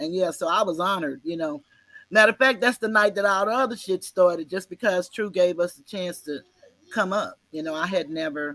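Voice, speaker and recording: A woman with an unremarkable speaking voice talks at a medium pitch. She moves at a fairly quick pace with ordinary pitch variation. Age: 60s. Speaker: live-stream podcast host. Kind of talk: casual chat. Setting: live video stream.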